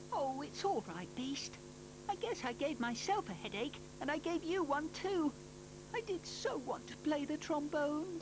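A cartoonish character voice at a moderate pace over loud background noise. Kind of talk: children's cartoon dub. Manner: gentle, polite, caring.

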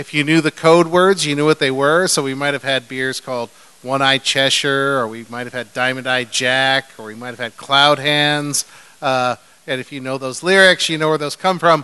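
With an American accent, the speaker has a normal speaking voice and talks at a moderate pace with fairly even intonation. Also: man. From California, Bay Area; California. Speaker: brewmaster; panelist. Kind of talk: live panel talk. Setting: stage with audience. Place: stage.

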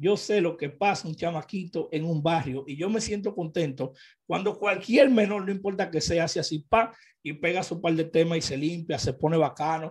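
A man with a Dominican accent speaks at a high pitch and a moderate pace with ordinary pitch variation against a quiet background. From Dominican Republic. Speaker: urban music news vlogger. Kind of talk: casual commentary. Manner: animated. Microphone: studio mic.

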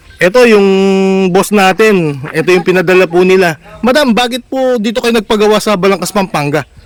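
A man talks at a fairly quick pace in a high voice with ordinary pitch variation. Noticeable background noise sits under the recording. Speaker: vlogger showing a customized vehicle. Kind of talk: casual on-site vlog interview. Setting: outdoors at a vehicle body shop. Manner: animated.

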